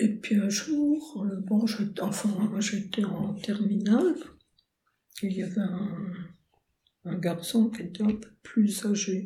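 Soft-spoken and somewhat breathy, a woman talks very slowly with long, frequent pauses. Her tone is dark and mellow, at a medium pitch with ordinary pitch variation. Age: 80s+. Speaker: retired painter and poet. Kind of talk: interview.

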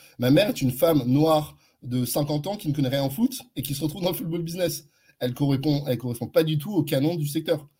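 A man's voice is dark, mellow and somewhat breathy, set at a fairly high pitch. He talks at a fairly quick pace with ordinary pitch variation. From France, Neuilly-sur-Seine. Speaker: advertising agency founder. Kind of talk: interview.

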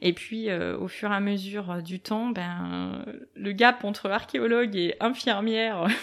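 Her delivery is very slow, with fairly even intonation. The woman's pitch sits in the medium range. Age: 30s. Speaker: medical tattoo artist, former nurse. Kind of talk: interview conversation. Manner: hesitant, many fillers.

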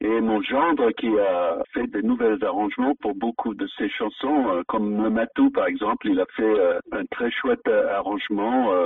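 With music playing in the background, a man speaks at a very slow pace. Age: 70s. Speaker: folk singer. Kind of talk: radio interview. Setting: phone call.

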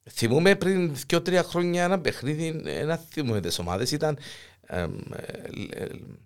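A man's fairly high-pitched voice with vocal fry and very wide pitch swings. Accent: Cypriot. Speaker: podcast host. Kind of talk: casual chat. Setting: studio.

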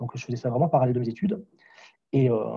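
A dark, mellow, somewhat breathy voice at a very fast pace. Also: man. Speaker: vocal coach and singer. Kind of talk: interview. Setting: remote call. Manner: frequent laughter. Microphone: poor Wi-Fi connection audio issues.

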